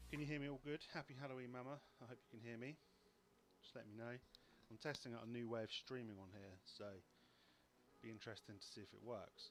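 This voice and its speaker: A soft-spoken man talks at a very fast pace. He takes long, frequent pauses. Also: medium pitch for a man, ordinary pitch variation. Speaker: LEGO live-stream host. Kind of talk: casual live stream chat.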